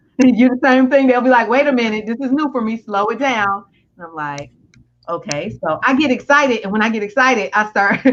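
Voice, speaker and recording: A woman talks at a fairly quick pace with lively intonation and a fairly high pitch. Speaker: coach and show host. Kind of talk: interview. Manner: fast; loud.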